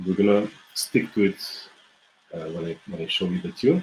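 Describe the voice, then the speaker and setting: This man speaks with a Bulgarian accent. His pitch sits fairly low and varies in an ordinary way. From Bulgaria, Smolyan mountains. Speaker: folk musician and music teacher. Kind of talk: online music lesson. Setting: live video stream. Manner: halting, many fillers and restarts.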